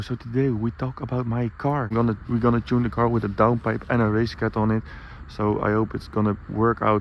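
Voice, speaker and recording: At a very fast pace, a man with a non-native accent speaks at a medium pitch with fairly even intonation. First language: Dutch. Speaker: car vlogger. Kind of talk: casual vlog talk. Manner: halting, many fillers.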